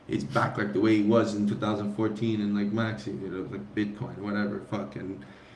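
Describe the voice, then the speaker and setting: Room echo is audible as a man speaks at a fairly quick pace, with hardly any pauses. His pitch is fairly low and his intonation fairly even. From immigrant to the US. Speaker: crypto community figure. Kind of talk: casual chat. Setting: live stream. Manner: halting.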